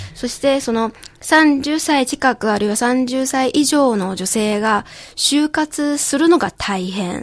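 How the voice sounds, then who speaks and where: A woman speaks very slowly in a high voice. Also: lively intonation. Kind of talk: casual radio chat. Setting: radio studio.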